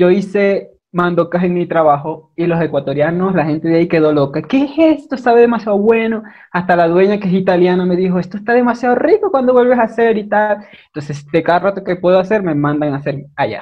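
The speaker goes at a fairly quick pace with lively intonation. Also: man, high pitch for a man. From Venezuela, Maracaibo. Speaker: guest, video creator. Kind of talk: casual chat.

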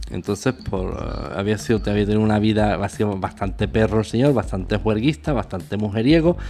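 Speaking with hardly any pauses, a man uses lively intonation at a fairly low pitch in an ordinary speaking voice. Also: fairly quick pace. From Spain. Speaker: radio host. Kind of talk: casual chat.

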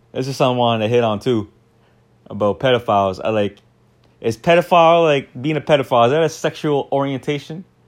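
In a very clean recording with a silent background, a man speaks at a very fast pace in a medium pitch with ordinary pitch variation. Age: 30s. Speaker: podcast host. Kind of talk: casual solo monologue. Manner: halting, many fillers.

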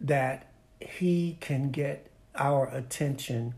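Fairly high in pitch and somewhat breathy, this man's voice holds a fairly even intonation. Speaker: pastor. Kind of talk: sermon-like interview.

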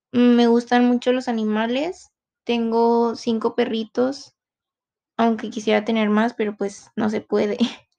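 This woman speaks at a fairly slow pace with a fairly high voice. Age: 20s. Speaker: university student. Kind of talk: self-introduction monologue.

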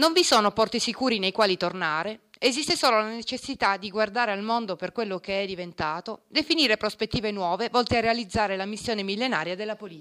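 A woman's normal speaking voice, medium in pitch with ordinary pitch variation, at a fairly quick pace in a very clean recording with a silent background. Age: 40s. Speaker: lawyer and party activist. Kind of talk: project presentation.

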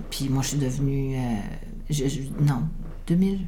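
Heard through audible room echo and noticeable background noise, a woman talks at a moderate pace with ordinary pitch variation. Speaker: midwife. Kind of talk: interview conversation.

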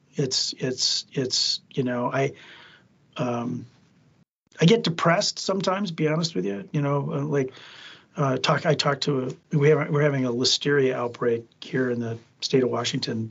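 Here a man uses an ordinary speaking voice at medium pitch, with ordinary pitch variation and a moderate pace. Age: 60s. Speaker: food safety attorney. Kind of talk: casual interview.

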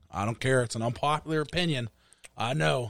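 A man talks with a Pittsburgh accent. The recording is very clean, with a silent background. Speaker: podcast co-host, music producer. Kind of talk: casual chat.

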